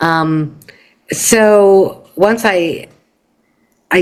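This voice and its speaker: Medium pitch from a female speaker. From Canada. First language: Yiddish. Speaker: poet. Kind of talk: interview. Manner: halting, many fillers.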